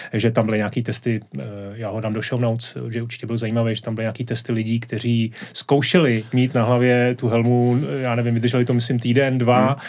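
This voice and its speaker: A man's medium-pitched voice runs at a very fast pace, its intonation monotone and flat. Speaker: podcast host. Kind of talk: casual interview chat. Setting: studio.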